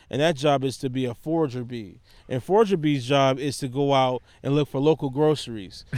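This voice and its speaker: Talking at a fairly quick pace with an American accent, a man has a fairly high pitch and ordinary pitch variation. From Detroit, northwest side. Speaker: urban beekeeper, nonprofit founder. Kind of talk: casual interview.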